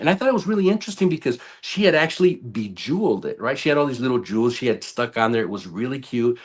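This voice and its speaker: Against a quiet background, a man talks at a very fast pace in an animated tone with very wide pitch swings. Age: 50s. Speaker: ICU nurse. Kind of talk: storytelling in casual interview.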